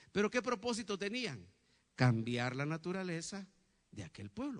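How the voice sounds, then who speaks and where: His pitch moves through very wide swings. The man keeps to a moderate pace. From Guatemala, Huehuetenango (western highlands). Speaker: pastor. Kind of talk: sermon. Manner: animated, frequent rhetorical questions.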